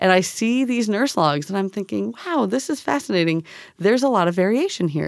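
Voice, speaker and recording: A woman's medium-pitched voice in a Canadian accent, with very wide pitch swings. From Canada. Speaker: biology professor. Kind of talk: casual interview. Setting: studio. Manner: animated.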